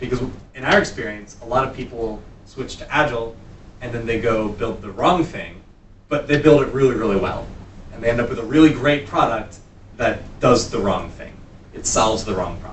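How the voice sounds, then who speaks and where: With audible room echo, a man talks at a fairly quick pace with long, frequent pauses, big swings in loudness and ordinary pitch variation. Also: medium pitch for a man. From US East Coast. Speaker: workshop instructor, entrepreneur and consultant. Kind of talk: workshop lecture. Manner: fast.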